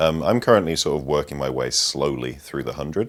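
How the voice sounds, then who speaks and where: Here a man speaks with a Yorkshire accent. He moves at a fairly quick pace with vocal fry. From northern England, Sheffield. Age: 20s. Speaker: mountain climber. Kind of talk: interview storytelling. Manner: hesitant, many ums.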